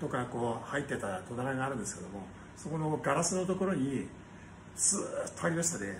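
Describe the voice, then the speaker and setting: Noticeable background noise runs under a man's voice. He talks at a fairly quick pace with very wide pitch swings. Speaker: restaurant company owner. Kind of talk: casual monologue vlog. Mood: cheerful, nostalgic. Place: cafe. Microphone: phone near.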